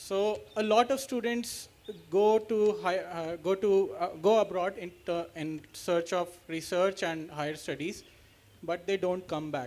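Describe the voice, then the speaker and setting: In an Indian accent, the speaker goes at a fairly slow pace with ordinary pitch variation. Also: man, high pitch for a man. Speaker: university student. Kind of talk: audience question. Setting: town hall with audience.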